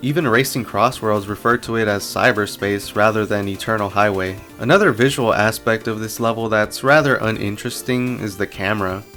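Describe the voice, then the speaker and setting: Music plays in the background as a man talks at a fairly quick pace and fairly low pitch with hardly any pauses. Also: fairly even intonation. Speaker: video game analysis creator. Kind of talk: video essay voice-over.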